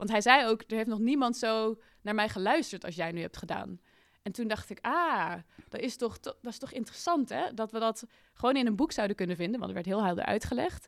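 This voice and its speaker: Here a woman in an ordinary speaking voice talks at a fairly quick pace and fairly high pitch with lively intonation, on a very clean recording with a silent background. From Netherlands, Amsterdam. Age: 20s. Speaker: climate activist. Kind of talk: interview conversation. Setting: studio in a building in the woods.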